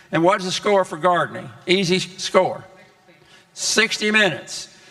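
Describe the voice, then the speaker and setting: A man with a high pitch speaks in a raised, projected voice over noticeable background noise. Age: 80s+. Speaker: health educator. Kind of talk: health talk to congregation. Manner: halting.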